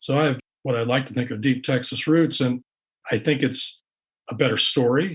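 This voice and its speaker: The voice is somewhat breathy, moving at a moderate pace with fairly even intonation. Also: man. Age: 60s. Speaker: author and investigative reporter. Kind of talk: interview. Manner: halting, repeats words.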